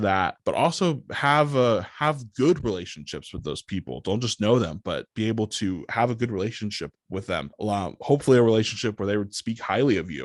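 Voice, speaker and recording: A plain, everyday voice from a man, fairly low in pitch, at a moderate pace with lively intonation, in a dry, close sound with no echo and a quiet background. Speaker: public address announcer for a basketball team. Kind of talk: podcast interview answer. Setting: office with a podcast microphone setup.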